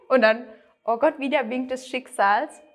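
This woman's voice sits high in pitch. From southwest Germany, near Freiburg. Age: 30s. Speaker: weight-loss coaching client. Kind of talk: interview testimony. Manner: hesitant, many fillers.

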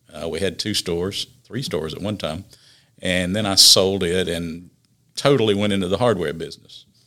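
With a South Carolina accent, a man speaks at a very deep, low pitch in a bright, sharp tone with ordinary pitch variation, on a very clean recording with a silent background. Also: moderate pace. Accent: Southern US (South Carolina). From US South, upstate South Carolina. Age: 60s. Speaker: city councilman. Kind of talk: casual interview. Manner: halting, many fillers.

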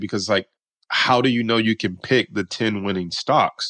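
A man at a medium pitch with ordinary pitch variation, an unremarkable speaking voice at a moderate pace, dry and close with no echo, in a quiet background. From Detroit, Michigan, US. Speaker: stock market coach and options trader. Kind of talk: interview.

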